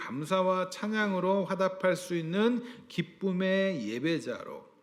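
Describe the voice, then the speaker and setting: A man with a high voice talks very slowly, his pitch moving in an ordinary way. Room echo is audible. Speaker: pastor. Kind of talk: sermon.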